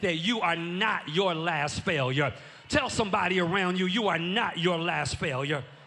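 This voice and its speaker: An animated tone with audible room echo and noticeable background noise. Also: man. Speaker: pastor. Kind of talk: sermon. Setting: church. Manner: loud.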